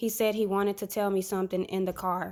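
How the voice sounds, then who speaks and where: A woman speaks in a monotone, flat manner. The recording is very clean, with a silent background. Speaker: prophetic word content creator. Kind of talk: prophetic word and dream telling. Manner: casual, conversational.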